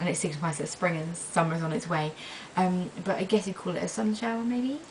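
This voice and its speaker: Speaking with a British accent, the woman has a medium pitch and ordinary pitch variation. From England. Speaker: vlogger. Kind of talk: casual vlog. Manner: hesitant, many fillers.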